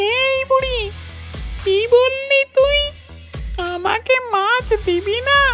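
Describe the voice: A cartoonish character voice with a bright, sharp tone speaks at a slow pace with ordinary pitch variation, faint music playing in the background.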